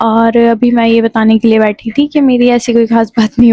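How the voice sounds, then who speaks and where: Soft-spoken and fairly high-pitched, a woman talks in a dark, mellow tone captured dry and close with no echo. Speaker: vlogger. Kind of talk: casual vlog talk to camera. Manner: soft, low-energy.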